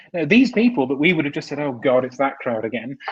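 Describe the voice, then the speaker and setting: Somewhat breathy, a man talks at a very fast pace with very wide pitch swings. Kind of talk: casual chat.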